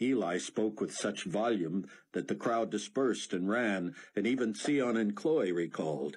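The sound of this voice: The reading voice is unforced. Its intonation moves in a lively way.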